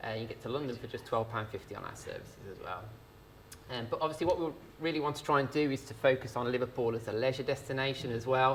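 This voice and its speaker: Somewhat breathy speech rushes at a very fast pace with big swings in loudness. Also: man, medium pitch for a man, ordinary pitch variation. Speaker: rail company sales manager. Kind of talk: business presentation. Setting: live event with audience. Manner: hesitant, many fillers.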